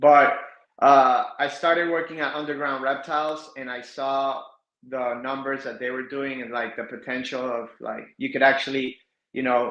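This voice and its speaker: A man with an American accent speaks at a moderate pace and a fairly high pitch. His loudness swings widely, and room echo is audible. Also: fairly even intonation. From South Florida. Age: 30s. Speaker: reptile breeder. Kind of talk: podcast interview.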